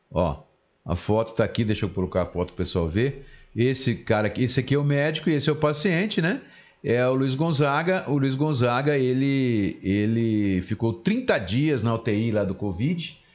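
Intonation is lively as a man speaks at a medium pitch. His pace is moderate, and the background is quiet. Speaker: community radio host. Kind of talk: casual radio talk show. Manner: animated.

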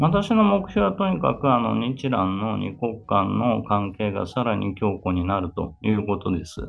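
Over music in the background, a man talks at a fairly slow pace with hardly any pauses. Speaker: ambassador. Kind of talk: interview. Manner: formal.

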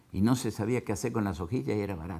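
A man talks with vocal fry. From Argentina, southern Santa Fe (Venado Tuerto). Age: 60s. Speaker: agricultural equipment businessman and cattle farmer. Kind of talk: interview. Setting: his factory.

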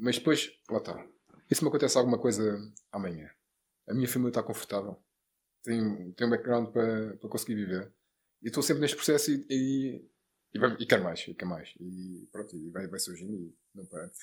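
The delivery is fairly quick, with lively intonation and big swings in loudness. Long pauses come often. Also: man, fairly low pitch for a man. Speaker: entrepreneur, sports bettor, real estate investor. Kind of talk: casual interview. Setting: studio.

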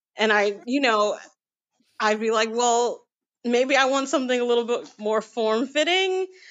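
Her voice is high-pitched, with an American accent. The woman speaks at a fairly slow pace. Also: ordinary pitch variation. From US, Queens, New York City. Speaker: model and performer. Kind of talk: casual chat.

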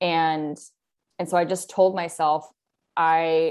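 A woman speaks in an unremarkable speaking voice, fairly low in pitch. Her pitch varies in an ordinary way against a quiet background. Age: 30s. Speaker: writer. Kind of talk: casual chat.

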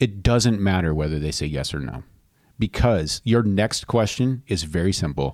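A man speaks at a moderate pace with lively intonation. His pitch is very deep and low. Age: 40s. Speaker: podcast host. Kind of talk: casual chat.

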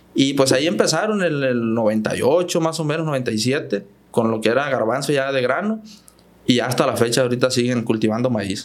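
A medium-pitched man speaks at a moderate pace. Room echo is audible. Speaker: farm machinery dealer manager. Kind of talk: podcast interview.

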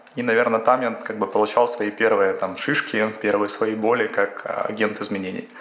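A man's medium-pitched voice, flat and monotone in intonation, moves at a moderate tempo against noticeable background noise. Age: 40s. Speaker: management consultant. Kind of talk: interview.

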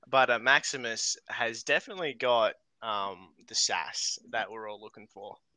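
A man at a moderate pace with ordinary pitch variation, in a dry, close sound with no echo against a quiet background. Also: medium pitch for a man, big swings in loudness. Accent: Australian. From Australia. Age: 20s. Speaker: guest. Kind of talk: casual chat.

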